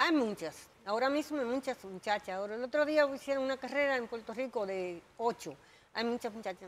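A woman's high-pitched voice, fairly quick, with lively intonation. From Dominican Republic. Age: 60s. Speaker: jockey. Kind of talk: interview. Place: studio.

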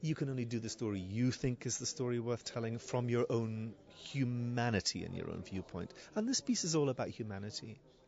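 Light background noise accompanies a man speaking in a Scottish accent at a fairly quick pace. The sound is dry with no echo. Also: medium pitch for a man, ordinary pitch variation. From Scotland. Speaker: theatre director. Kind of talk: interview. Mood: thoughtful, earnest. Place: shop. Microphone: handheld.

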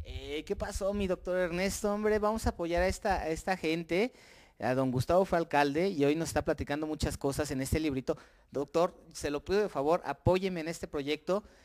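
Fairly quick delivery with ordinary pitch variation over a quiet background. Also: man, high pitch for a man. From Mexico. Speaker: local TV interviewer. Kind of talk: casual interview. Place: home room. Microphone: handheld.

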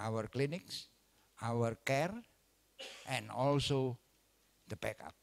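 Speaking in an Indonesian accent, a man talks at a very slow pace and medium pitch, with ordinary pitch variation and long, frequent pauses. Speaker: obstetrician lecturer. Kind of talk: lecture. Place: hall. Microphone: handheld.

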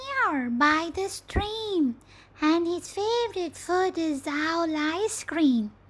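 A put-on character voice, squeaky and extremely high in pitch. It moves at a very slow pace. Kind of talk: storybook character acting. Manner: polite, then boastful and sly.

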